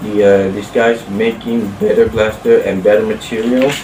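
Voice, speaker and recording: A man's medium-pitched, monotone voice with flat intonation, amid noticeable background noise. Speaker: toy blaster reviewer. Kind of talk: casual product review to camera. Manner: stuttering, halting.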